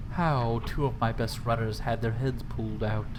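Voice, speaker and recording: Over loud background noise, a man does a nasal, put-on character voice at a medium pitch and moderate pace. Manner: mean.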